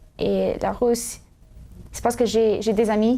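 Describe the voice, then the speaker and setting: A woman's dark, mellow tone, fairly high in pitch, with fairly even intonation. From US, California, Sacramento. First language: English (speaking French). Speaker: student co-host of religious show. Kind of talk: casual interview chat. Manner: halting, many hesitations.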